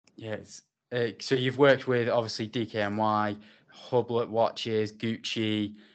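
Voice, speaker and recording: A man's medium-pitched voice in an English accent, monotone and flat in intonation, at a fairly slow pace. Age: 20s. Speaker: podcast host. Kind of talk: casual interview.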